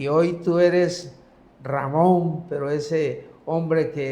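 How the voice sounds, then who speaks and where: In a room with audible echo, a man speaks at a fairly high pitch. His tone is dark and mellow, his intonation fairly even. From Mexico, Comalcalco, Tabasco. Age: 70s. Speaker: pastor. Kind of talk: religious talk show conversation.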